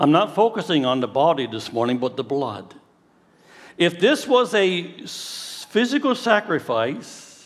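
At a fairly slow pace, a man with a fairly high pitch speaks in very wide pitch swings. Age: 60s. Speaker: pastor. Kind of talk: sermon. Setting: church.

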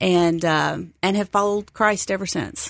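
Speaking with an American accent, a woman uses an unremarkable speaking voice at a medium pitch. Her intonation stays fairly even at a fairly slow pace over a quiet background. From Texas. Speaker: seminary enrollment advisor. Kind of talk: interview.

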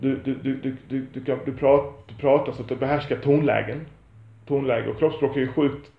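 The speaker talks at a moderate pace with vocal fry, monotone, flat intonation, big swings in loudness, and long, frequent pauses. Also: man. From Sweden, Lund. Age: 40s. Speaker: podcaster. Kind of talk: monologue. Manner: halting.

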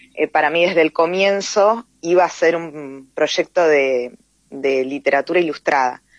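Heard in a dry, close sound with no echo, a normal speaking voice moves at a fairly slow pace with ordinary pitch variation. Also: woman, fairly low pitch for a woman. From Tierra del Fuego, Argentina. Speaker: poet and teacher. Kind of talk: interview.

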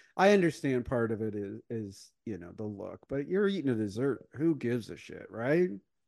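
A man with a slight Midwestern US accent speaks at a moderate pace with hardly any pauses. His pitch swings very widely, and his loudness swings a lot. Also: medium pitch for a man. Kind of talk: casual chat.

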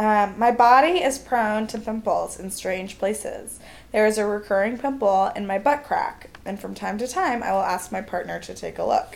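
At a moderate pace and with hardly any pauses, a woman speaks at a fairly high pitch in an animated tone, with ordinary pitch variation and big swings in loudness. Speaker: comedian. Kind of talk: casual chat, storytelling. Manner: animated, laughing.

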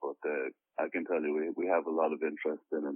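A man is speaking. He has an Irish accent. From Ireland. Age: 30s. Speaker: actor and author. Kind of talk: interview. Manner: halting.

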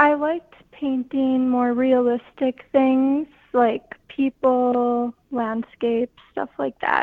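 With an Upper Midwest accent, a woman speaks very slowly in a high-pitched, monotone, flat voice. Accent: Upper Midwest (Minnesota). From northwest Minnesota. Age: young. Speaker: art student. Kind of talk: radio interview. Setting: phone call.

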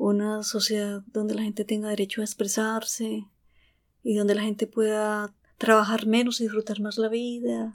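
In a very clean recording with a silent background, a woman talks. Her pitch is fairly high. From Colombia, Antioquia. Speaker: psychologist and acupuncturist. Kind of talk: interview. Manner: halting.

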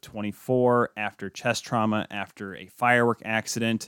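Recorded very cleanly with a silent background and a dry, close sound with no echo, a man at a medium pitch uses an ordinary speaking voice with fairly even intonation. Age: 20s. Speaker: sports podcast host. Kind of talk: casual sports talk show. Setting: studio, streamed live.

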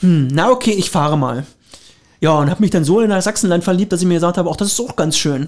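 Very fast and animated, a man talks in a high voice with ordinary pitch variation. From Brandenburg, Lower Lusatia (Finsterwalde). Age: 30s. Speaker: train conductor. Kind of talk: casual interview.

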